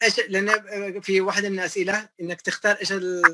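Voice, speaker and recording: Raised and projected, the voice has a bright, sharp tone over loud background noise. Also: man. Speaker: electrical systems engineer; guest. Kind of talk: interview.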